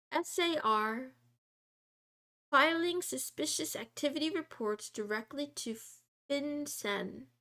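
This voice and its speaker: The voice is raised and projected with a bright, sharp tone, moving at a very slow pace with long, frequent pauses. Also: woman, high pitch for a woman, lively intonation. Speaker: VTuber streamer. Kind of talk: reading aloud. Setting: livestream.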